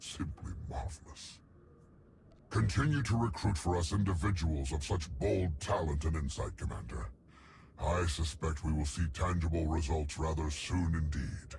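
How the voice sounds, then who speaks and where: A man in a put-on character voice speaks with a very deep, low pitch at a moderate pace over clear background noise. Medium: video game. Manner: formal, enthusiastic.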